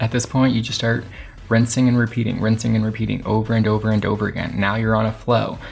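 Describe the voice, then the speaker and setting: A man talks at a fairly low pitch. Noticeable background noise sits behind him. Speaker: YouTube creator. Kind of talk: tutorial. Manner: fast when excited; animated.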